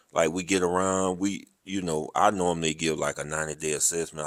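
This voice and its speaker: A man with a Southern US accent speaks in a very deep, low voice and a flat monotone, recorded very cleanly against a silent background. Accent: southern drawl. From US South, rural. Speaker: military podcast host, army veteran. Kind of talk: casual interview chat.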